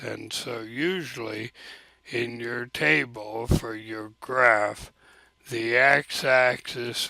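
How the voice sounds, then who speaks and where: Against a quiet background, a man speaks very slowly with fairly even intonation in a dry sound with no echo. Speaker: teacher. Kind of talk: screen-recorded software tutorial. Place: home room. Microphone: webcam.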